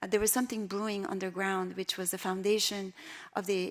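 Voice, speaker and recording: With an Iranian accent, a woman speaks in a monotone, flat intonation. Her pitch is medium. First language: Persian. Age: 60s. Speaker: artist and filmmaker. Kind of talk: lecture. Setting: stage with audience. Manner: halting, many fillers.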